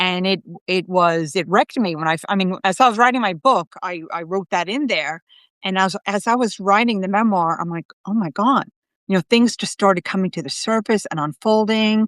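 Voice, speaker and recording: With an American accent and an unremarkable speaking voice, a woman talks at a fairly quick pace in a medium pitch with ordinary variation, the sound dry and close with no echo over a quiet background. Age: 60s. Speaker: psychic medium. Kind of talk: casual chat. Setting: live video stream.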